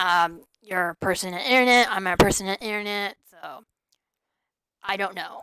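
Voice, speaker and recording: On a very clean recording with a silent background and a dry, close sound with no echo, a woman speaks at a medium pitch and moderate pace. Her tone is bright and sharp, with ordinary pitch variation and big swings in loudness. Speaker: forex trader and trading teacher. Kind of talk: live stream chat. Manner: hesitant, many fillers and restarts.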